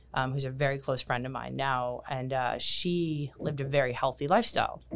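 A woman speaks at a fairly quick pace in a very deep, low pitch with fairly even intonation. The recording is very clean, with a silent background. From Canada, Kitchener, Ontario. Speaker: personal trainer and nutrition coach. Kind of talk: casual interview. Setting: studio.

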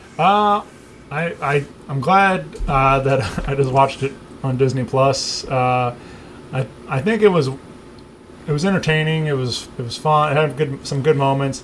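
A fairly high-pitched male voice with ordinary pitch variation, set against noticeable background noise. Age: 30s. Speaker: music podcast host. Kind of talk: casual chat.

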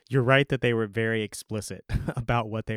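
A normal speaking voice, a man's fairly low voice with an American accent and fairly even intonation, on a very clean recording with a silent background and a dry, close sound with no echo. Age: 30s. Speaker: city council member and podcaster. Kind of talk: interview.

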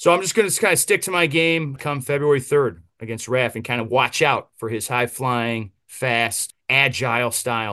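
Against a quiet background, a man talks at a moderate pace with hardly any pauses, his medium-pitched voice bright and sharp in tone with ordinary pitch variation. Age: 30s. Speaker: pro wrestler. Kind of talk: casual interview.

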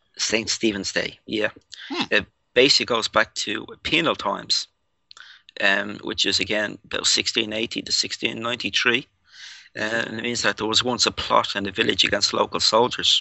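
Here a man speaks in a Dublin accent. His pace is moderate. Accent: Irish (Dublin). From Ireland. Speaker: paranormal researcher. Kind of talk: casual interview.

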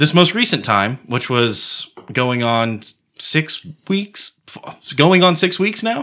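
On a very clean recording with a silent background, a man with a fairly high pitch and a bright, sharp tone speaks very slowly, with very wide pitch swings and long, frequent pauses. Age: 30s. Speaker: podcast co-host. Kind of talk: casual chat.

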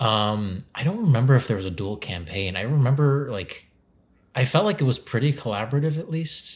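A man speaks fairly quickly in a medium-pitched, somewhat breathy voice with lively intonation, recorded very cleanly against a silent background. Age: 30s. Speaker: comedian and improviser. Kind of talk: casual chat.

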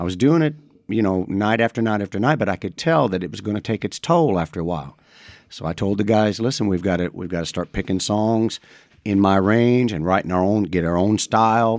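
A man with an American accent talks in a normal speaking voice at a fairly quick pace, his pitch fairly low. His intonation is lively, and the recording is very clean with a silent background. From Madison, Indiana (US Midwest). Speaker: singer-songwriter. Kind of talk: casual interview chat.

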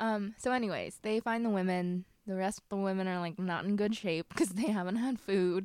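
Medium pitch from a woman, fairly even intonation and hardly any pauses. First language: not English. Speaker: book podcast co-host. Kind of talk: casual chat.

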